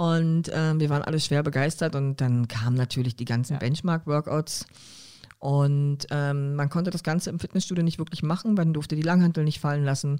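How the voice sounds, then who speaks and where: A woman speaks with a very deep, low pitch and a dark, mellow tone. She moves at a fairly quick pace with fairly even intonation. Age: 40s. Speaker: professional athlete and coach. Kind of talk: casual chat.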